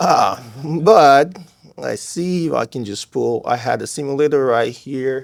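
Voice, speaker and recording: Fairly high male speech, its pitch varying in an ordinary way. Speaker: startup founder. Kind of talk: pitch Q&A. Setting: stage with audience.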